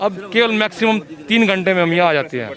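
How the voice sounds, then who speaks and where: A man with a high pitch and ordinary pitch variation speaks at a moderate pace over noticeable background noise. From western Uttar Pradesh, Saharanpur. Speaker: voter. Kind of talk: street interview.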